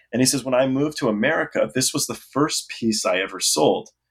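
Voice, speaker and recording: This is a normal speaking voice, moving at a fairly quick pace. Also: man. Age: 40s. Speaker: author and former roadie. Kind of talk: interview.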